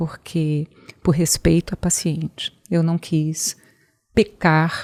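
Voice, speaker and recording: Recorded with a dry, close sound and no echo, a woman speaks in a dark, mellow tone, with fairly low pitch and fairly even intonation. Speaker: oncologist and hospital founder. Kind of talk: interview.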